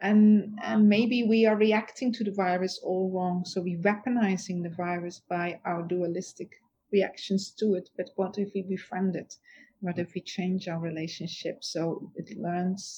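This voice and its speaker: A woman with a Dutch accent speaks at a medium pitch and moderate pace, with fairly even intonation. Her tone is dark, mellow and somewhat breathy. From Netherlands. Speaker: author and futurist. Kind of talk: interview conversation.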